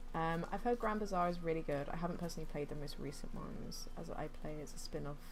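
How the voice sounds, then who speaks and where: A woman with a fairly low pitch and ordinary pitch variation talks at a very fast pace, with hardly any pauses. Audible room echo and noticeable background noise surround her. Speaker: gaming streamer. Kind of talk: live gameplay commentary. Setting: home, streaming.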